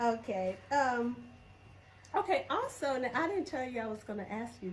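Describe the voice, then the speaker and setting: With a Southern US accent, a woman speaks at a fairly slow pace and a high pitch. Her pitch swings are very wide, and noticeable background noise is present. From Alabama, US South. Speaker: vlogger. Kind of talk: casual interview chat.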